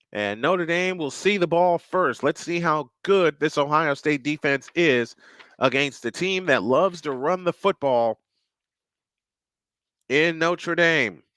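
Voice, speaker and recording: This man has a fairly high pitch and a bright, sharp tone that sounds excited and energetic, with ordinary pitch variation at a fairly slow pace. The recording is very clean, and the background is silent. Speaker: sports play-by-play announcer. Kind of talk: radio-style sports play-by-play. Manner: excited, energetic.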